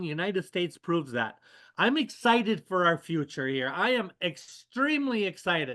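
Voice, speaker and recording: Against a quiet background, a man uses a raised, projected voice with a bright, sharp tone. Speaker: service club leader giving a motivational talk. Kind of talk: motivational talk on a webinar. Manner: energetic, rallying.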